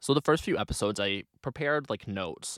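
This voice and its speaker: Speaking at a fairly quick pace in an animated tone with ordinary pitch variation, a man is heard in a dry, close sound with no echo on a very clean recording with a silent background. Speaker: podcast host. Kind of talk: solo podcast monologue, casual. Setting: home recording, headphones on. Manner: casual, chatty, animated.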